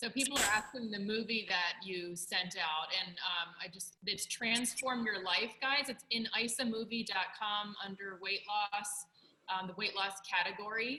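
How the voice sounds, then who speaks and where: A woman talks at a fairly slow pace with hardly any pauses. Her pitch is medium, with ordinary variation. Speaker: host of a live online business call. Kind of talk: interview on a live video call. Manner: soft-spoken.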